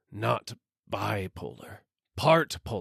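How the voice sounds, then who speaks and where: This is a put-on character voice. It sounds raspy. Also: man. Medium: read story. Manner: slow, gruff, bossy.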